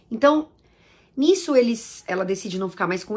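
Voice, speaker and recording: Against a quiet background, a woman's voice moves through very wide pitch swings. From Brazil. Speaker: YouTuber discussing language and films; YouTuber discussing language. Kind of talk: casual monologue to camera. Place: home room.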